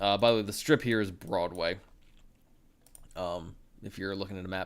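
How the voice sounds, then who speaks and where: Very deep and low in pitch, a man speaks with ordinary pitch variation and big swings in loudness. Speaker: photographer and editor streaming photo edits; live streamer. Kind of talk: live stream tutorial. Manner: halting, self-correcting; fast. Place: home room. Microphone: studio mic.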